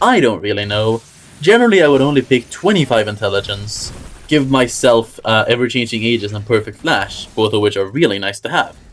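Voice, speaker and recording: Lively intonation from a man at a moderate pace, over noticeable background noise. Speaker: gaming video creator. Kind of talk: gaming tutorial.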